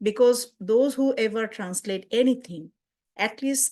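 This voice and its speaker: The speaker talks at a fairly slow pace with a Bengali accent. The background is quiet. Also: woman. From Bangladesh. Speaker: community outreach worker and translator. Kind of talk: webinar presentation.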